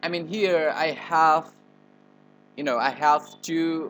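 A man speaks very slowly in a fairly high voice. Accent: Indonesian. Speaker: tutorial presenter. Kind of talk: tutorial. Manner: halting, hesitant with fillers.

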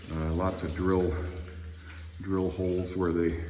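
A man's very deep, low voice, flat and monotone at a moderate pace, over light background noise. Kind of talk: casual exploration commentary. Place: tunnel cave. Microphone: phone near.

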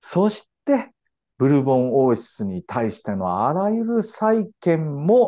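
A man's fairly high voice, dark and mellow in tone, with very wide pitch swings at a very slow pace. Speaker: historian and commentator. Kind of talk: explanatory interview. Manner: frequent fillers and hesitations.

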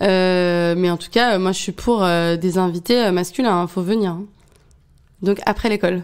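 A woman's ordinary speaking voice at a medium pitch and fairly slow pace, in a very clean recording with a silent background. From Paris region. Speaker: podcast host. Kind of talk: interview.

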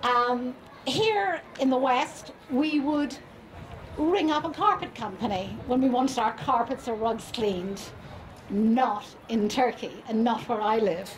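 At a fairly slow pace, a woman talks in a high voice over light background noise. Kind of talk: public speech, storytelling. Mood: warm, amused. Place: stage. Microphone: handheld.

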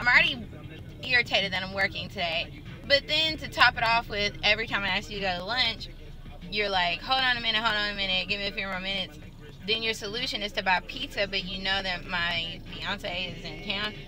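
Talking at a fairly quick pace with ordinary pitch variation, a woman is heard in a dry sound with no echo over light background noise. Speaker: vlogger. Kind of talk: casual vlog chat. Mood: irritated recounting of manager. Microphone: phone near.

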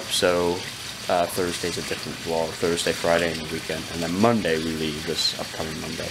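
Rather fast talking against clearly audible background noise. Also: man. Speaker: vlogger. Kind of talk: casual vlog chat. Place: home room. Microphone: phone near.

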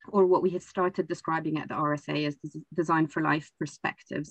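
A woman speaks very fast with vocal fry, her pitch very deep and low and her intonation fairly even, against a quiet background. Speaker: panelist. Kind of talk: panel discussion presentation. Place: home room. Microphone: webcam.

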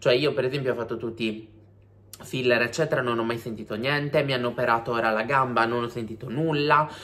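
A man with a medium pitch speaks at a very fast pace. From Sardinia. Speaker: YouTuber. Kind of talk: vlog monologue. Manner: animated. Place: home room. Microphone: phone near.

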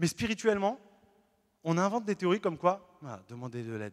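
Against a quiet background, a man speaks at a moderate pace. His tone is animated, with very wide pitch swings. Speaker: Protestant pastor. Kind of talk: sermon. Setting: church. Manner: animated, earnest preaching with emphatic repetition; lively, illustrates points with everyday stories. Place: church. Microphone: handheld.

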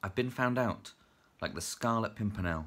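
A man with a British accent, ordinary pitch variation and a moderate pace. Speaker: teacher and writer. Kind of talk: casual chat to camera, then a poem read aloud. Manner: chatty, hesitant, self-deprecating with filler words. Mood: light, self-deprecating. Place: home room. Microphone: phone near.

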